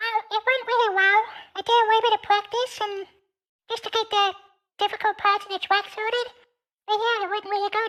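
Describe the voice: Putting on a squeaky character voice at an extremely high pitch, a man talks at a fairly quick pace in a monotone, flat delivery broken by long, frequent pauses.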